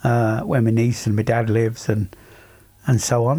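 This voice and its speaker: A man speaks at a moderate pace and medium pitch. His tone is dark and mellow, and somewhat breathy. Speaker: podcast co-host. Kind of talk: casual chat.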